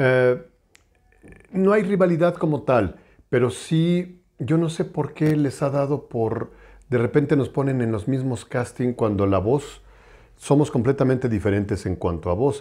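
A man with a fairly high pitch and a dark, mellow tone speaks fairly slowly with lively intonation over a quiet background. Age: 50s. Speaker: voice actor. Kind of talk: interview. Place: home room. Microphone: lapel.

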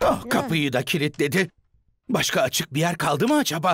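A man's fairly high, fairly bright voice at a moderate pace, with big pitch swings

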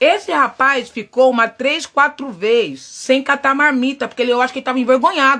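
Over a quiet background, a woman projects a raised, animated voice at a high pitch with a bright, sharp tone, moderate pace and ordinary pitch variation. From Brazil, São Paulo. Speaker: livestreamer / social media personality; livestreamer. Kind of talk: casual live chat. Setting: home livestream. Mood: expressive, storytelling. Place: home room. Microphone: phone near.

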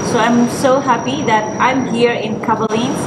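Loud background noise behind a speaking woman. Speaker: food vlogger. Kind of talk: casual vlog chat. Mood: excited, happy. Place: hall. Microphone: camera far.

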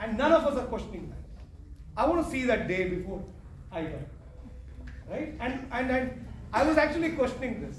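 With light background noise and audible room echo, a man speaks at a moderate pace in an extremely high pitch with lively intonation. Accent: Kannada. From Karnataka, India (Thirthahalli, near Shivamogga). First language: Kannada. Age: 30s. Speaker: entrepreneur and CEO, guest speaker. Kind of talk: motivational talk to students. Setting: college auditorium with student audience. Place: hall. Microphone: camera far.

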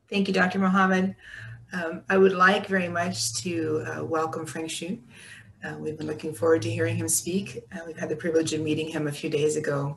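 Over light background noise, a woman with a very deep, low pitch speaks at a fairly quick pace with ordinary pitch variation. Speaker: moderator. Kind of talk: moderated Q&A. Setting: video call. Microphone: video call.

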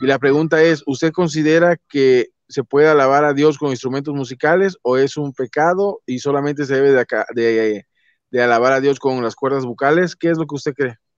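In an unremarkable speaking voice, a man talks at a fairly quick pace and a fairly high pitch, his intonation fairly even. The sound is dry with no echo, against a quiet background. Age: 30s. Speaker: YouTube channel host interviewer. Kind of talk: interview. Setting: online call. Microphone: video call.

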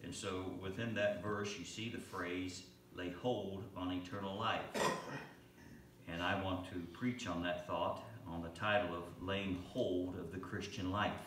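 Pausing long and often, a man speaks fairly slowly in a very deep, low, flat monotone, with audible room echo and light background noise. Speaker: pastor. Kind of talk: sermon. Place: church.

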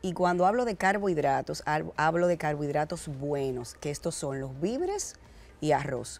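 A woman's very deep, low voice at a fairly slow pace, with ordinary pitch variation. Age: 40s. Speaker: fitness entrepreneur; guest. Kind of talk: TV interview. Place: studio. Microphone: lapel.

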